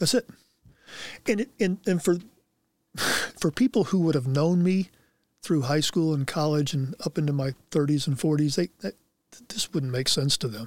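A man with an American accent talks at a moderate pace, pausing long and often, in a dry, close sound with no echo. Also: fairly high pitch for a man. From Anderson, Indiana. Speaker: former NFL player. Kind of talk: casual chat. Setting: studio.

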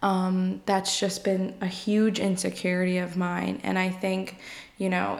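In an American accent, a woman speaks with a normal speaking voice at a medium pitch. Her pace is fairly slow and her intonation fairly even. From New York. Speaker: podcast host, psychology graduate. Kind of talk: solo casual monologue. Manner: frequent filler ums, conversational.

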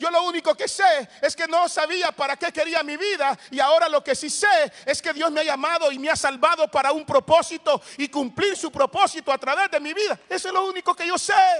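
At a fairly quick pace, a man with an extremely high pitch speaks in an animated tone with ordinary pitch variation, the sound dry and close with no echo. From El Salvador, Soyapango. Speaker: pastor. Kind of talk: sermon.

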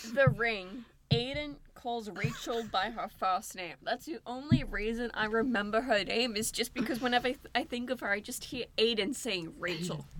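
In a normal speaking voice, a woman talks at a moderate pace with a fairly high pitch and lively intonation. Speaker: film student, podcast host. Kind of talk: casual chat.

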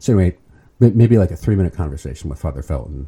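A man with an American accent, very deep and low in pitch, dark and mellow in tone with vocal fry, at a very fast pace. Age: 50s. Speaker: permanent deacon. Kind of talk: interview.

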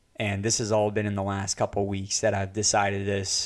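Here a man speaks at a moderate pace with a fairly low pitch. His intonation is monotone and flat. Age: 20s. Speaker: artist and podcast host. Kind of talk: solo monologue. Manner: casual, with frequent fillers.

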